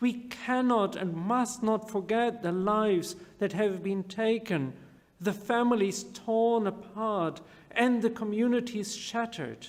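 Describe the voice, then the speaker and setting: Audible room echo around a man's high-pitched voice, fairly even in intonation and at a fairly slow pace. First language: not English. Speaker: rabbi. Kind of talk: sermon.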